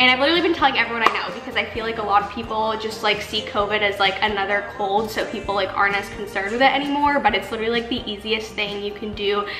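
Over clear background music, a woman speaks at a very fast pace with hardly any pauses and ordinary pitch variation. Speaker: lifestyle vlogger. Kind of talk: casual vlog chat. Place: kitchen. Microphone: camera far.

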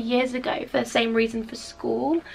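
Speaking with a British accent, a woman sounds enthusiastic. Her pace is fairly quick. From UK. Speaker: lifestyle vlogger. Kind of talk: casual vlog. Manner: chatty, enthusiastic. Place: home room. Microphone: phone near.

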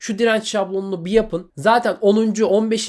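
The man's voice sits high in pitch. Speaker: exam coaching YouTuber, university student. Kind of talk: motivational advice monologue to camera. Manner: animated, scolding at times.

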